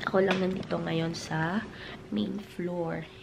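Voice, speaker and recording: Speaking at a very slow pace, a woman with a fairly low voice is heard over noticeable background noise and audible room echo. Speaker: family vlogger. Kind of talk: casual vlog talk. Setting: at home.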